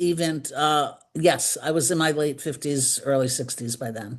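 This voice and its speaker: A woman's very deep, low voice in a New York accent at a fairly slow pace. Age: 70s. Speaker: decluttering consultant and author. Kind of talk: interview.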